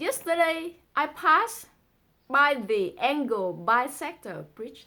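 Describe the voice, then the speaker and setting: A woman with a Vietnamese accent and a bright, sharp tone, her pitch swinging very widely. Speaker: amateur poetry reader and explainer. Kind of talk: reading aloud a translated poem with commentary.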